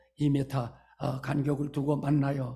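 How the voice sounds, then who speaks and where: A man's somewhat breathy, fairly high voice, fairly slow and monotone, with flat intonation. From North Korea. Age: 80s+. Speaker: pastor. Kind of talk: sermon. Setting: church. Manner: hesitant fillers.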